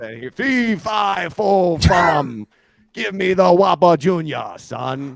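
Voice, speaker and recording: This man puts on a character voice. It is high-pitched and very slow. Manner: exaggerated.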